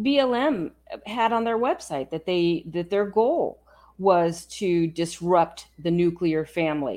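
A woman's dark, mellow, fairly low voice with an American accent, at a very slow pace against a quiet background. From California, San Francisco. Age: 50s. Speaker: podcast host. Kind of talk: casual chat; interview.

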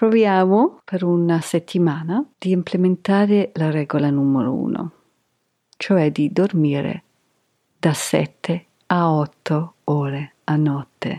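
Speaking at a very slow pace with an English accent, a woman has a fairly low pitch, a dark, mellow tone and ordinary pitch variation, in a dry, close sound with no echo. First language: English (speaking Italian). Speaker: yoga podcast host. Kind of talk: podcast monologue.

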